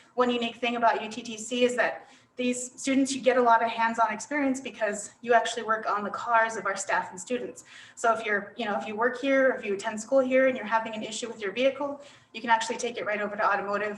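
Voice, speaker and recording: A woman's fairly high voice at a very fast pace, fairly even intonation and big swings in loudness, over noticeable background noise. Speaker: college representative. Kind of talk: online presentation.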